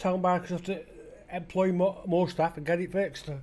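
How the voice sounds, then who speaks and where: In a Potteries accent, a man speaks at a fairly quick pace with a high pitch and monotone, flat intonation. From England, the Potteries (Stoke-on-Trent). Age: 50s. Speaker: gaming YouTuber. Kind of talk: gameplay commentary rant. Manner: halting, many fillers and restarts.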